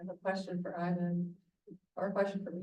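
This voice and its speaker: A woman's somewhat breathy, medium-pitched voice with a dark, mellow tone and monotone, flat intonation. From Alabama. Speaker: guest curator and moderator. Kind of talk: moderated discussion. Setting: hybrid event with room audience and Zoom.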